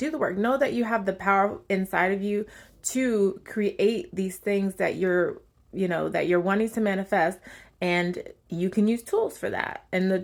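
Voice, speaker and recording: A woman's unremarkable speaking voice at medium pitch, moderate pace and ordinary pitch variation, on a very clean recording with a silent background. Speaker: tarot reader. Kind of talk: channeled tarot reading. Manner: casual, filler-heavy.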